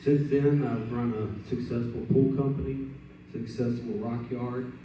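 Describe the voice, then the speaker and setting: Amid audible room echo and noticeable background noise, a man with a Texan accent speaks at a moderate pace and medium pitch. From Texas Gulf Coast, Port Lavaca. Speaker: political candidate. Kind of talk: candidate speech.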